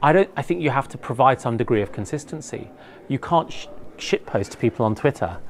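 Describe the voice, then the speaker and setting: Lively in intonation, a man speaks at a fairly quick pace in an ordinary speaking voice at medium pitch. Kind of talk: debate.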